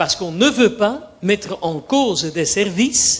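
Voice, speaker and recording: A man with a Dutch accent speaks at a very slow pace. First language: Dutch (speaking French). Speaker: judge. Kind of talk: panel debate. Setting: conference forum. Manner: formal.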